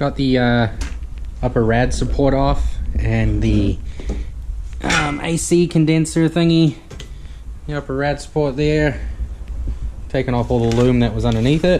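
The speech runs at a fairly slow pace with long, frequent pauses. Noticeable background noise sits behind it. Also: man. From New Zealand. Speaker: car mechanic YouTuber. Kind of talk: tutorial. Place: garage. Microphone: phone near.

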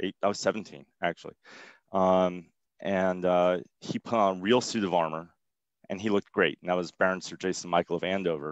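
A man with a very deep, low voice talks at a moderate pace in a flat monotone, the sound dry with no echo and the background quiet. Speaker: interviewee. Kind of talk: interview answer. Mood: relaxed, humorous. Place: home room. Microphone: headset.

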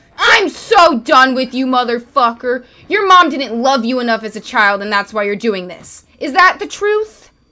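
A woman's raised, projected voice, high in pitch with very wide pitch swings and big swings in loudness, at a moderate pace with hardly any pauses. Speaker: gamer. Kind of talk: angry rant while gaming. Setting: livestream gameplay. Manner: frustrated, sarcastic, exasperated. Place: home room. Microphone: studio mic.

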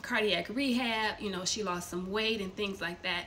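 A woman's fairly even intonation over light background noise. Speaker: storyteller sharing family testimony. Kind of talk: casual vlog chat. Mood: earnest, explaining. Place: kitchen. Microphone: phone near.

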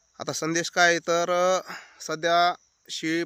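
A man's voice sits fairly high in pitch. The sound is dry and close, with no echo. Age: young. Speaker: farmer and farming YouTuber. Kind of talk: informal advice talk to camera.

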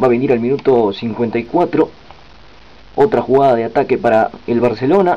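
A man with a plain, everyday voice talks at a medium pitch. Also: ordinary pitch variation, moderate pace. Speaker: sports commentator. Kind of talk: live-style football commentary over match highlights. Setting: voiceover on highlights video. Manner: excited on goals.

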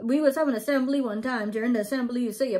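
A woman with a Bahamian accent talks at a very fast pace and a fairly high pitch against a quiet background. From Bahamas. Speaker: vlogger explaining her dialect. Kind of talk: casual talk to camera. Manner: upbeat, chatty. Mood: relaxed, amused. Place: home room. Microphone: phone near.

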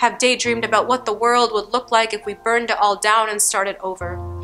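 With faint music in the background, a woman delivers her words at a fairly quick pace in a monotone, flat intonation. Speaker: poet. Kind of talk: spoken word poetry performance. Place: studio.

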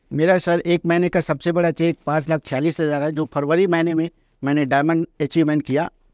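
With hardly any pauses, a man talks at a moderate pace in a monotone, flat intonation, his fairly high pitch and very even loudness caught in a dry sound with no echo over a quiet background. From Chhattisgarh, India. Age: 40s. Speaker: network marketer; podcast guest. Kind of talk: interview. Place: studio. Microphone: lapel.

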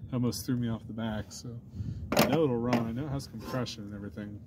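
A man speaks with a dark, mellow tone. Background noise is noticeable. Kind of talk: tutorial. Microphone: phone near.

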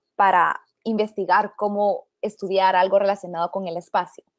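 Speaking at a moderate pace with medium pitch, a woman has a plain, everyday voice recorded in a dry, close sound with no echo. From Guatemala. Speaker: astrophysics PhD student. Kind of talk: webinar presentation.

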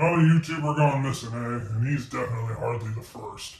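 A man's medium-pitched voice at a fairly quick pace, with a slight echo. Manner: conspiratorial, confident.

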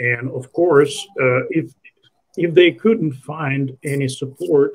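The voice carries a Russian accent and sounds somewhat breathy. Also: man. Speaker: online show host. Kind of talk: interview. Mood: critical, conversational. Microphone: video call.

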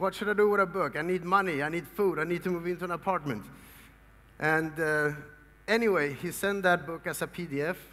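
Speaking in a Swedish accent, a man has a high pitch and a bright, sharp tone. His pace is fairly quick. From Sweden. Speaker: motivational speaker. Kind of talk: seminar talk. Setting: stage with audience. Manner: animated. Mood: earnest storytelling. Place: hall.

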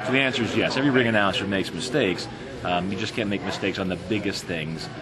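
Loud background noise surrounds a man speaking at a very fast pace. His pitch is fairly low, with ordinary variation. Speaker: professional boxing and MMA ring announcer. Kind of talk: interview answer. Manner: fluent, articulate, conversational, with some filler words. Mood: relaxed, upbeat. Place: hall. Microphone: phone near.

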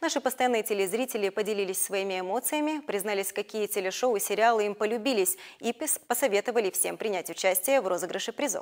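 Against a quiet background, the speech runs at a very fast pace. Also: woman, fairly high pitch for a woman, ordinary pitch variation. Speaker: news anchor. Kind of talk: news reading. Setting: studio. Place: studio. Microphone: lapel.

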